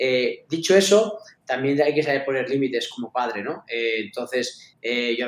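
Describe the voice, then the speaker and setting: A man speaks at medium pitch in an ordinary speaking voice, keeping a moderate pace and ordinary pitch variation. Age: 40s. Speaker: esports club founder and executive. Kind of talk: interview.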